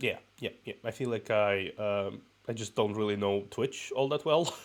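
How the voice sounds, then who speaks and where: A man's fairly low voice in a Russian accent, at a moderate pace with ordinary pitch variation. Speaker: VTuber streamer. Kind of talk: casual chat. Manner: halting.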